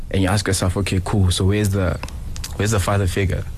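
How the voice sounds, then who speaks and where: A man with a very deep, low voice is heard amid noticeable background noise and audible room echo. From Johannesburg, South Africa. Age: 30s. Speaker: talent manager. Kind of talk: radio interview. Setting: studio.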